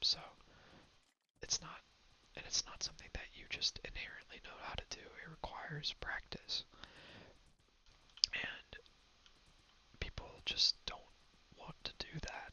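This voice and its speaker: The speaker whispers at a fairly slow pace. Long pauses come often. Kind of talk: casual talk to camera, ASMR gameplay ramble. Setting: low-quality lo-fi recording. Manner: whispered, rambling.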